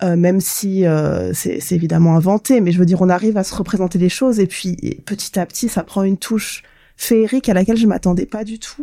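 A woman with a dark, mellow tone at a fairly quick pace, with ordinary pitch variation, on a very clean recording with a silent background. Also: medium pitch for a woman. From southern France, Côte d'Azur. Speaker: gaming podcast co-host. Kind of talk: casual chat.

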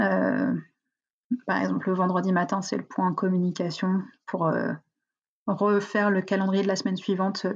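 Vocal fry and flat, monotone intonation at a moderate pace, with long, frequent pauses over a quiet background. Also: woman, very even loudness. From northern France, near Valenciennes. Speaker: entrepreneur. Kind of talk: interview. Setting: video call.

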